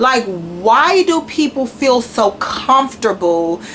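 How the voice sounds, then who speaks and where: Her pitch is high for a woman, and her tone is animated. Noticeable background noise runs beneath her. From Washington DC. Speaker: YouTuber. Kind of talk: rant.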